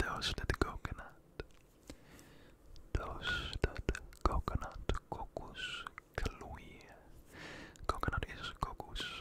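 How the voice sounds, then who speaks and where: Whispering, a man speaks at a very slow pace. He leaves long, frequent pauses. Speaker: ASMR creator. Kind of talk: ASMR trigger-word video. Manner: whispered, soft-spoken. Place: home room. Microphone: studio mic.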